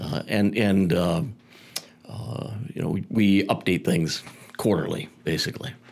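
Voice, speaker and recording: A man with a fairly low pitch talks at a fairly slow pace, with ordinary pitch variation. He leaves long, frequent pauses over noticeable background noise. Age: 60s. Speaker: radio executive and broadcaster. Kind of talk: casual chat. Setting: studio.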